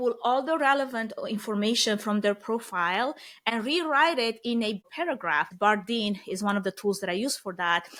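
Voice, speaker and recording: A woman with a Romanian accent and a fairly high pitch speaks at a moderate pace with ordinary pitch variation, on a very clean recording with a silent background. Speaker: event planning expert. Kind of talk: podcast interview.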